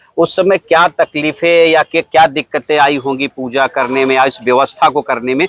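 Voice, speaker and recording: Music plays behind a man with a fairly high pitch and ordinary pitch variation. The sound is dry and close, with no echo. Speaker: podcast host and local reporter. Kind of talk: interview question.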